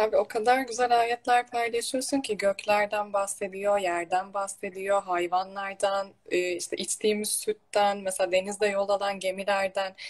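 A woman with a plain, everyday voice speaks at a fairly slow pace and medium pitch, her intonation fairly even and hardly any pauses. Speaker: religious talk show host. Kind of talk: casual religious conversation. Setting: online live stream. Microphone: echo.

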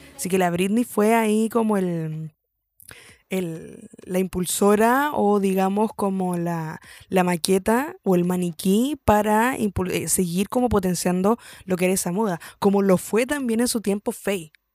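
In a very clean recording with a silent background and a dry, close sound with no echo, a woman with a Chilean accent speaks at a fairly slow pace with a medium pitch and ordinary pitch variation. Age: 20s. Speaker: podcast host. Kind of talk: casual monologue. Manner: hesitant, many fillers.

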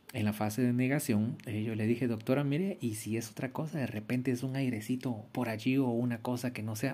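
Speaking at a fairly quick pace, a man with a medium pitch and a dark, mellow tone comes through on a very clean recording with a silent background. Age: 40s. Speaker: podcaster. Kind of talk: personal storytelling monologue. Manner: hesitant, with many fillers and repetitions.

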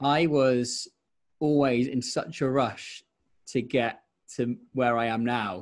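In a very clean recording with a silent background, a man with an English accent speaks at a very slow pace, with very even loudness, fairly even intonation and long, frequent pauses. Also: medium pitch for a man. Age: 20s. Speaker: radio presenter. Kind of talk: casual chat.

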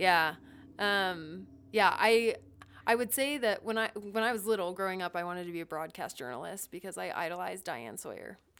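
A woman with an American accent uses an ordinary speaking voice at medium pitch, with lively intonation and big swings in loudness. The recording is very clean, with a silent background. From Ohio, US Midwest. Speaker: business analyst and guest. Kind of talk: casual interview chat.

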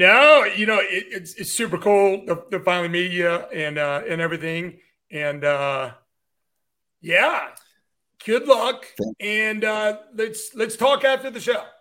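A man's raised, projected voice, high-pitched with a bright, sharp tone, lively intonation, an American accent and a fairly slow pace. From DC area / Virginia, US. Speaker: podcast co-host. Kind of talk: interview. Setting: remote call.

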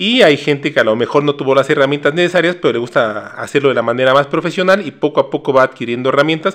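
Speaking at a very fast pace with hardly any pauses, a man with a Mexican accent uses a fairly high pitch and ordinary pitch variation. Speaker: nutritionist and podcast host. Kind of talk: casual chat.

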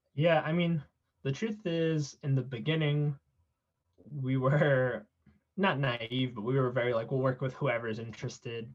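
Somewhat breathy, a man talks at a moderate pace and medium pitch with ordinary pitch variation and long, frequent pauses. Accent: American. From South San Francisco, California. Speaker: nonprofit cofounder. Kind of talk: interview. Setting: podcast.

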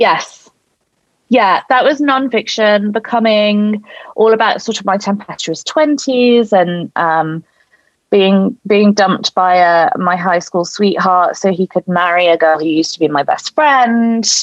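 A woman's medium-pitched, plain, everyday voice, fairly slow in pace, with lively intonation and very even loudness. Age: 30s. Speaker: novelist. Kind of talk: casual chat.

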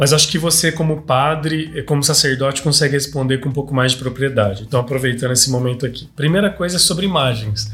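A man rattles along at a very fast pace with hardly any pauses, at a fairly high pitch with ordinary pitch variation. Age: 30s. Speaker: podcast host. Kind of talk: casual interview chat. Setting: studio.

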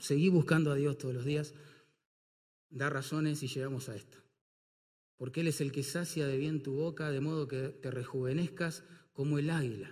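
Heard with audible room echo, a man speaks at a moderate pace with long, frequent pauses. His voice is fairly high and somewhat breathy, with fairly even intonation. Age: 50s. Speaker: pastor. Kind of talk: sermon.

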